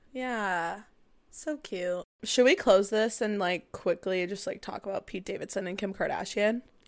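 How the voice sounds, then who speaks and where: A woman's medium-pitched voice at a moderate pace, ordinary pitch variation, big swings in loudness, quiet background. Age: 20s. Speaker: podcast co-host. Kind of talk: casual chat. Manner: animated.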